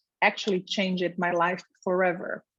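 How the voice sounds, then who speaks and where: A woman speaks with a Portuguese accent. Her pace is moderate. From Brazil. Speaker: infectious disease physician. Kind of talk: career talk. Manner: hesitant with fillers.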